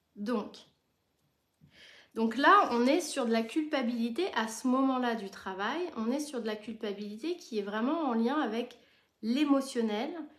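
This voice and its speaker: A woman speaks fairly slowly in a high voice with ordinary pitch variation. Her long, frequent pauses carry audible room echo. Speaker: therapist and supervisor. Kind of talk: live stream talk. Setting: live stream.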